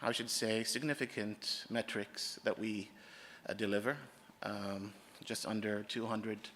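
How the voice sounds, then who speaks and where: A man with an American accent speaks at a fairly slow pace. His pitch is fairly low and his intonation monotone and flat. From Oman, raised abroad in international schools. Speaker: conference speaker, oil company IT manager. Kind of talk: conference presentation.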